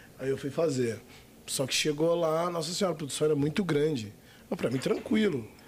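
A man with an unremarkable speaking voice, fairly high-pitched for a man, fairly quick, with lively intonation. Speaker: adult film actor. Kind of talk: casual chat.

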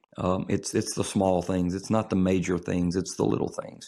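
With a Mississippi accent, this man speaks at a very deep, low pitch. His tone is dark and mellow. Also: very clean recording, silent background. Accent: US Southern (Mississippi). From northern Mississippi, DeSoto County. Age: 30s. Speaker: pastor and funeral director. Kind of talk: casual chat. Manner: halting, many fillers and repeats.

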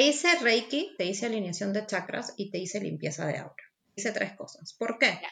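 A woman's bright, sharp tone, fairly high in pitch, at a moderate pace. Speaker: energy healer. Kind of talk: interview.

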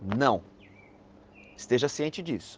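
A man is speaking. His intonation is lively. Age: 40s. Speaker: event caterer. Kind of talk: advice segment.

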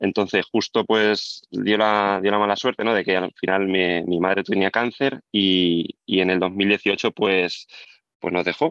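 Here is a man with an unremarkable speaking voice and a fairly low pitch, his intonation fairly even and his loudness very even. The sound is dry and close with no echo, and the background is quiet. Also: fairly slow pace. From Spain, Albacete. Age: 30s. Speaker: property investor. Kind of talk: interview.

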